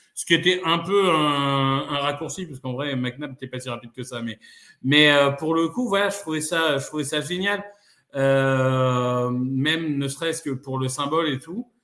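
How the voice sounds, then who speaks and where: A man with an unremarkable speaking voice talks at a fairly slow pace. His pitch sits fairly high and varies in an ordinary way. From northern France (Amiens). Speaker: football podcaster and fan. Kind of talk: casual chat.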